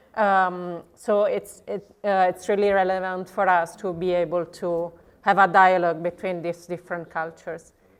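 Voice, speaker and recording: A woman with an Italian accent, medium pitch, flat monotone intonation and hardly any pauses, over a quiet background. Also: moderate pace. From southern Italy. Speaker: legal researcher at a commons NGO. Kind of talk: conference presentation.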